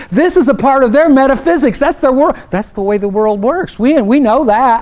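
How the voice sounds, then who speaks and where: With an Oklahoma accent, a man speaks at an extremely high pitch and a moderate pace with lively intonation. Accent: Oklahoma twang. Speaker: professor. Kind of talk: keynote speech. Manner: conversational, with self-corrections.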